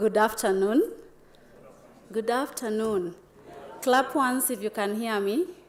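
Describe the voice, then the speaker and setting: With noticeable background noise behind her, a woman speaks at a very slow pace with ordinary pitch variation. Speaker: conference speaker, aeronautical engineer. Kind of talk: conference presentation. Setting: stage with live audience.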